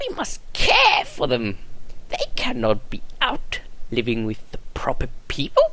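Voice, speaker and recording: A man's put-on character voice at a fairly slow pace, with clear background noise. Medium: solo performance. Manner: polite, fussy.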